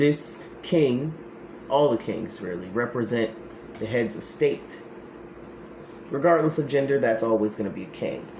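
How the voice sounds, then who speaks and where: A man with a medium pitch and lively intonation speaks at a fairly slow pace with long, frequent pauses. Noticeable background noise is present. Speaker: spiritual practitioner and political commentator. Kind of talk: tarot-style card reading monologue. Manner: loud; animated.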